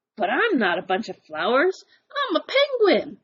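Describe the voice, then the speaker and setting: A woman speaks in a put-on character voice. It is high-pitched and set at a moderate pace. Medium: read story. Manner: enthusiastic, goofy.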